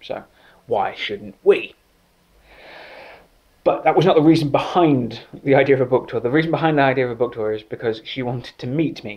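Delivered in an English accent at a fairly quick pace with ordinary pitch variation, the speech has long, frequent pauses. Loudness swings widely, and the background is quiet. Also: man, fairly high pitch for a man. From England. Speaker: writer. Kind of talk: comedic anecdote told to camera. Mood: joking, playful storytelling. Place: home room. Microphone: phone near.

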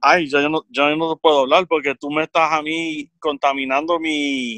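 A man at a fairly slow pace, with a dry sound with no echo and a quiet background. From Puerto Rico, central region. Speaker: podcast guest. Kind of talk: casual chat. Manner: halting. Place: home room. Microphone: studio mic.

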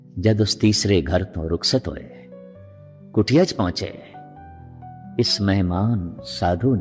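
Music in the background behind a man's very deep, low voice with lively intonation. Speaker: Sikh preacher giving a religious discourse. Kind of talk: religious storytelling, katha.

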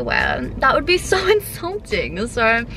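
Faint music sits behind a woman's voice, recorded dry with no echo. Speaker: fashion vlogger. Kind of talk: casual vlog chat.

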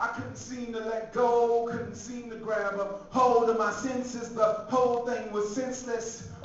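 Strong room echo and light background noise surround a voice that moves at a fairly slow pace with fairly even intonation. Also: man. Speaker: spoken word poet. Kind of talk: live spoken word poetry performance. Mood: heartbroken, wry. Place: hall.

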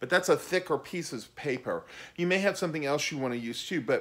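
A man speaks. His pitch swings very widely. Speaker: teacher of puppet drawing. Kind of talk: tutorial. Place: garage. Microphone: camera far.

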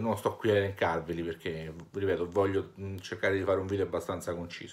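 The man's voice sits at a fairly low pitch. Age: 30s. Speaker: YouTuber and shop owner; vlogger. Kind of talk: vlog monologue. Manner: hesitant, many fillers. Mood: earnest, personal, a bit weary. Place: home room. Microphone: phone near.

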